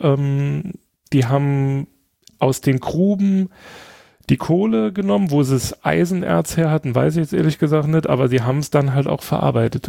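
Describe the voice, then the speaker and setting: Lively intonation and a dark, mellow tone from a medium-pitched man at a moderate pace, in a dry, close sound with no echo. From Saarland, near French border. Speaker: podcast guest. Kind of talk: casual chat. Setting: remote call.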